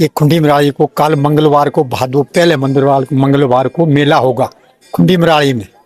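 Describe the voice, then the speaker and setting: A man's voice over background music, with a dry, close sound and no echo. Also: fairly high pitch for a man, fairly even intonation. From Himachal Pradesh, Chamba area. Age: 70s. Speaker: pilgrim. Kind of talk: casual interview.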